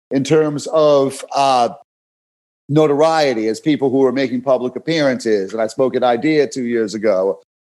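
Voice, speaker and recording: Speaking with a New York accent, a man uses lively intonation at a fairly high pitch. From New York City (Brooklyn). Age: 40s. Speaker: fitness coach. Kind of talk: podcast interview. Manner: animated, repetitive stammering.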